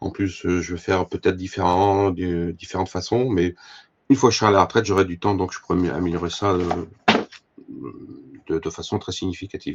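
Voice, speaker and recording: Pitched very deep and low, a man talks at a fairly quick pace with fairly even intonation. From France, Allier (Moulins). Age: 60s. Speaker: fly-tying expert and fishing tackle professional. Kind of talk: talk to a club audience. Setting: club evening with audience. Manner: hesitant, many fillers and repetitions.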